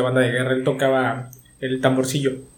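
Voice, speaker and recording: Amid noticeable background noise and audible room echo, a man talks at a very fast pace with a fairly high pitch for a man. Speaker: podcast co-host. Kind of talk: casual chat. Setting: remote home studio.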